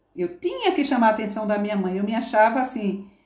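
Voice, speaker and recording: Audible room echo around a woman's fairly high pitch, with ordinary pitch variation. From Northeast Brazil (Paraíba, Pernambuco). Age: 50s. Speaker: former nursing assistant. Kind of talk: interview.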